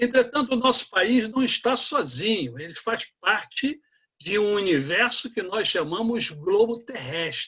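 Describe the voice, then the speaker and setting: A man projects a raised voice, high in pitch and bright and sharp in tone, with lively intonation at a fairly slow pace. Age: 60s. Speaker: economics professor. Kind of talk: lecture.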